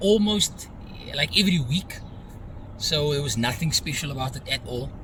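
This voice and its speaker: A man's fairly high voice moves at a moderate pace, his intonation lively, while noticeable background noise plays behind. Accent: South African. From South Africa. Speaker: social media marketer. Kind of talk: casual vlog talk to camera.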